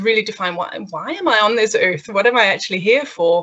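At a moderate pace, a woman talks with a Danish accent. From Denmark. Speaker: learning and development consultant. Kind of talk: casual interview.

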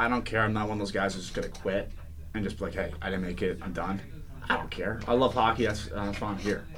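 A man with an American accent and a fairly low pitch talks at a very fast pace. Audible room echo and noticeable background noise surround him. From Connecticut, Danbury area. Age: 20s. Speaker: college hockey team captain. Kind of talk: radio interview. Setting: radio studio.

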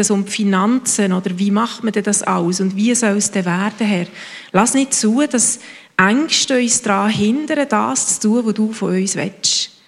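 A woman has an ordinary speaking voice, fairly high in pitch. She speaks at a fairly slow pace with ordinary pitch variation. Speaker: congregation member praying. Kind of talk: spoken prayer.

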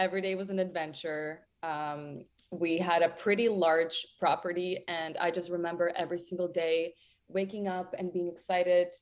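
A woman with a Ukrainian accent talks at a moderate pace in a fairly low pitch, her intonation monotone and flat. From western Ukraine, near Ternopil. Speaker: singer. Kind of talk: interview.

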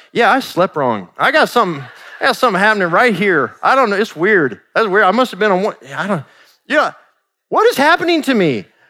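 In a bright, sharp tone, a man speaks in a raised, projected voice, high for a man, at a fairly quick pace with very wide pitch swings. The recording is very clean, with a silent background. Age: 40s. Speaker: pastor. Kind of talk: sermon. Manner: conversational.

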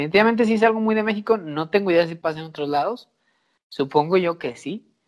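Someone speaks with a Mexican accent on a very clean recording against a silent background. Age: 30s. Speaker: podcast co-host. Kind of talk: casual chat.

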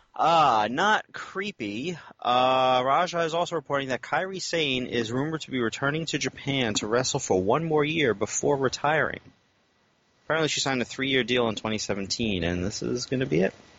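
At a moderate pace, a man talks in a normal speaking voice of medium pitch with lively intonation. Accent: American. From United States. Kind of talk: casual banter.

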